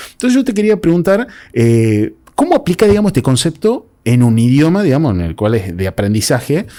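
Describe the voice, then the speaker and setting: A man with a Tucumán accent moves at a fairly quick pace, his fairly high voice dark and mellow and swinging very widely in pitch. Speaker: podcast host. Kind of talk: casual interview.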